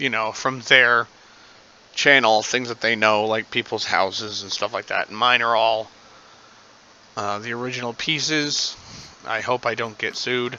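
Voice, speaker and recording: A man at medium pitch, monotone and flat, with long, frequent pauses. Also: moderate pace. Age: adult. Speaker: gaming video creator. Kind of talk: gameplay commentary. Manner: hesitant, many fillers.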